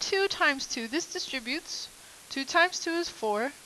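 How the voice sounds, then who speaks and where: A woman talks with lively intonation at a moderate pace while noticeable background noise plays behind her. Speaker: math teacher. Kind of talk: lecture. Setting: recorded video lesson.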